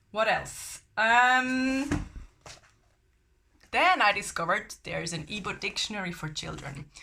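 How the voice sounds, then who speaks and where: Lively intonation from a woman with a bright, sharp tone and a German accent. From Germany. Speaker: language learning vlogger. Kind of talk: casual vlog talk. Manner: hesitant with fillers.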